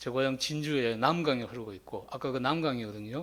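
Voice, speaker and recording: With a medium pitch and ordinary pitch variation, a man talks in a plain, everyday voice. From South Gyeongsang, Korea (Jinju). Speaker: teacher. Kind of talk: lecture.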